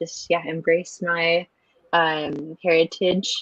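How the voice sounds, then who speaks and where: With an American accent, a woman speaks in a fairly low pitch and a monotone, flat intonation. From Salt Lake City, Utah, US. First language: Spanish. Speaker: university student. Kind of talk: interview. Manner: hesitant, many fillers.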